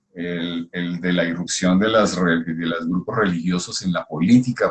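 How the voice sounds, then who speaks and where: A man speaks with a very deep, low pitch. His pace is moderate, and his pitch varies in an ordinary way. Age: 60s. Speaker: scholar of integral thought. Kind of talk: casual conversation. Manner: halting.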